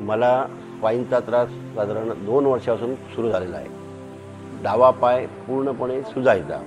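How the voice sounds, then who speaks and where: Music plays behind a man at a medium pitch. His intonation stays fairly even. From Sindhudurg, Maharashtra, India. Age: 60s. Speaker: spine surgery patient. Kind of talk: patient testimonial interview.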